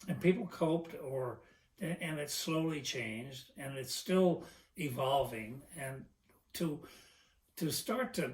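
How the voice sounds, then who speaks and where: A man with an American accent and a fairly high pitch speaks at a very slow pace, leaving long, frequent pauses. His voice is somewhat breathy, and his intonation is lively. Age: 80s+. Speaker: interviewee. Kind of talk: casual chat.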